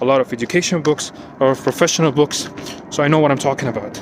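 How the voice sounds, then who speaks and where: A man's fairly high voice with ordinary pitch variation over noticeable background noise. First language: not English. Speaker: IT security professional. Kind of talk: personal vlog monologue. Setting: outdoors, walking at night. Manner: unscripted, repetitive and halting.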